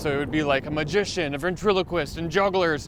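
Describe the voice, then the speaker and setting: Speaking with an American accent, a man keeps a moderate pace and ordinary pitch variation. Noticeable background noise runs behind him. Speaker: podcast host, comedian. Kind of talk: casual chat. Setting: outdoors, walking downtown.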